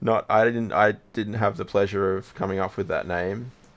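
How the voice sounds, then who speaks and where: Against a quiet background, a man with an Australian accent speaks at a fairly slow pace, in a fairly low pitch with fairly even intonation. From Australia, Sydney. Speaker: game streamer. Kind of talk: casual live stream chat. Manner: relaxed, chill.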